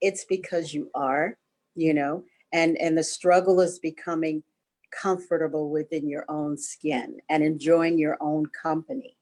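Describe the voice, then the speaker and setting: In a dry, close recording with no echo, a woman with a plain, everyday voice speaks at a fairly slow pace, her fairly low pitch held in fairly even intonation. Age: 60s. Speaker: hypnotherapist and contributing author. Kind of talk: interview.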